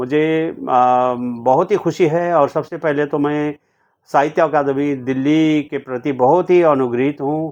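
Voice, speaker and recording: Against a quiet background, a man with a Nepali accent speaks at a fairly high pitch with fairly even intonation. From India, Sikkim (Gangtok). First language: Nepali (speaking Hindi). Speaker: poet and translator. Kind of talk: interview. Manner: halting, with many fillers.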